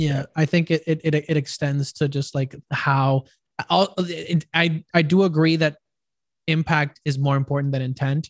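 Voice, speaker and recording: A somewhat breathy voice with monotone, flat intonation and a dry, close sound with no echo. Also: man, fairly high pitch for a man. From Puerto Rico. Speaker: content creator. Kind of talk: casual chat. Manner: halting.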